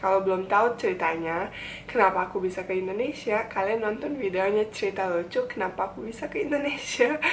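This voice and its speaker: A woman with a medium-pitched voice talks at a very fast pace over noticeable background noise. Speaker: vlogger. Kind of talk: casual vlog talk. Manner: fast when fluent, hesitant when searching words.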